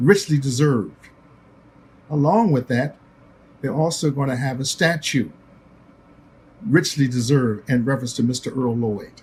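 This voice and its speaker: Pausing often and at length, a man talks at a moderate pace in a somewhat breathy voice, with a medium pitch and ordinary variation. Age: 80s+. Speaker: basketball executive and broadcaster. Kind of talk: recorded tribute speech.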